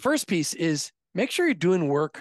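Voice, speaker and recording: A man with an American accent at a moderate pace and with ordinary pitch variation, in a dry, close sound with no echo and a quiet background. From US. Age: 50s. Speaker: podcast host and former insurance agency owner. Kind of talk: interview.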